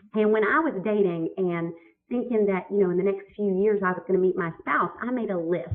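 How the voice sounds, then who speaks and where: In a Southern accent, a woman talks at a medium pitch with lively intonation. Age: 40s. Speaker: business consultant and author. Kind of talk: webinar chat. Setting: online webinar. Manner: animated.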